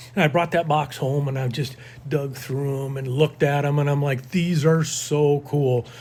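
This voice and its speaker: The voice is somewhat breathy, with monotone, flat intonation and a moderate pace. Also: man, fairly high pitch for a man. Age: 60s. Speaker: lure collector and outdoorsman. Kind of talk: casual chat.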